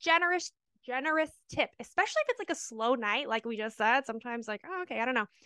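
A woman's raised, projected voice, high and bright with a sharp tone, animated and lively in intonation, at a very fast pace, dry and close with no echo over a quiet background. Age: 30s. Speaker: podcast co-host, stripper. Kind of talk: casual chat.

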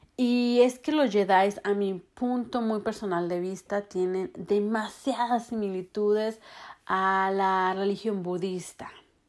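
A woman speaks at a very slow pace. Her medium pitch shows ordinary pitch variation. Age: 30s. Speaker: spiritual podcaster. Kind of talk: casual monologue.

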